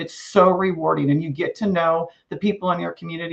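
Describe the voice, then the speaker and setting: Fairly even in intonation, the talking proceeds at a moderate speed. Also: woman. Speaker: master gardener volunteer. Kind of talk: presentation. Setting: live online event.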